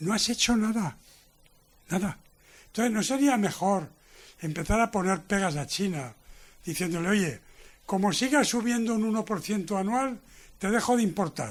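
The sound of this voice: A man speaks in a high voice with lively intonation, leaving long, frequent pauses. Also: moderate pace.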